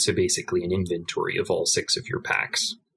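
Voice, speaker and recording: At a moderate pace, a man delivers his words with an American accent. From United States. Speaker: card game player. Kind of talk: podcast interview.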